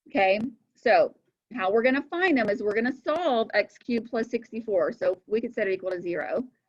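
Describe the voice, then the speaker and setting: A woman's unremarkable speaking voice, fairly high in pitch, with lively intonation. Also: fairly quick pace. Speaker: math teacher. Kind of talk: lecture.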